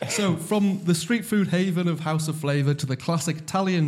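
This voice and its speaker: A man speaks in a normal speaking voice, with ordinary pitch variation. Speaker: podcast host. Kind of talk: casual podcast chat.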